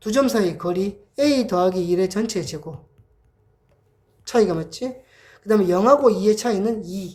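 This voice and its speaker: A woman speaks at a fairly slow pace in a dark, mellow tone, her pitch varying in an ordinary way. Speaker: math tutor. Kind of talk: lecture. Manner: casual.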